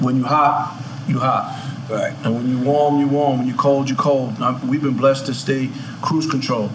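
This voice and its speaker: With an American accent, a man speaks at medium pitch with fairly even intonation against noticeable background noise. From Queens, New York. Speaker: music manager. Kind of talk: casual chat.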